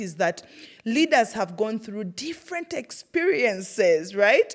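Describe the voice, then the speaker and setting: Speaking at a moderate pace with a strong Ugandan accent, a woman uses an animated tone, fairly high pitch, and very wide pitch swings. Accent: Ugandan, thick. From Uganda, Iganga. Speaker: podcast host, former teacher. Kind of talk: personal storytelling monologue. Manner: animated, conversational.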